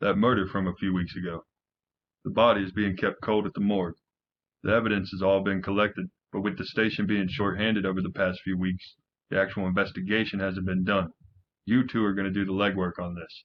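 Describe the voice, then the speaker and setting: Putting on a gruff character voice, a man talks at a fairly quick pace in a fairly low pitch with monotone, flat intonation. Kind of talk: comedic hard-boiled radio parody. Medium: audio drama. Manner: gruff, impatient, profane.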